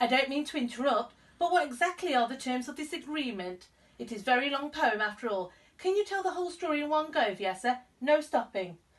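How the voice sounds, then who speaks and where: In a put-on character voice, a woman speaks squeaky and high at a fairly quick pace. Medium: read story.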